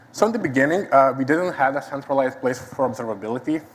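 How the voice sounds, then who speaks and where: A man talks with a Lithuanian accent at a medium pitch. Noticeable background noise runs under his voice. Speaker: site reliability engineer. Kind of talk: conference talk. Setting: stage with audience.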